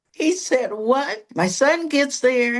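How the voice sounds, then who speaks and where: A woman speaks in an animated tone. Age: 70s. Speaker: counselor and minister. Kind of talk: interview testimony. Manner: animated storytelling.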